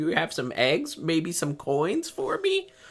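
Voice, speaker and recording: A put-on character voice speaks at a middle pitch. The pace is fairly slow. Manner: begging, pleading.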